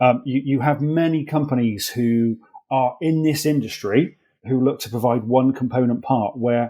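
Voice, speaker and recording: With an English accent, a man is talking. The tone of his voice is dark and mellow. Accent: English-sounding rather than Welsh. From England, moved from Wales at age three. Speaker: accident management executive. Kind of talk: podcast interview.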